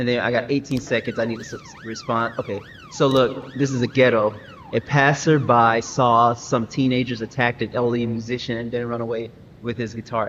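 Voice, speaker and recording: The man's medium-pitched voice moves at a fairly quick pace against noticeable background noise. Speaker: gaming streamer. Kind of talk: live gameplay commentary. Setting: live stream. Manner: animated; fast.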